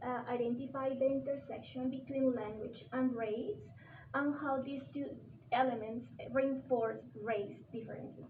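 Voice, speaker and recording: A woman talks with a Spanish accent at a high pitch and a moderate pace. There is audible room echo. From Colombia. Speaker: visiting scholar, teacher trainer. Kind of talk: workshop presentation. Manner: halting.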